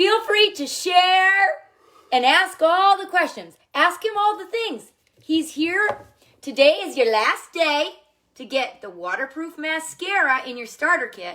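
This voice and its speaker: A woman with an American accent speaks in a raised, projected voice at an extremely high pitch, with very wide pitch swings. Her pace is fairly slow, and her loudness rises and falls in big swings. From Minnesota, US Midwest. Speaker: makeup seller livestreamer. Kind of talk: live stream chat with husband. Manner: animated.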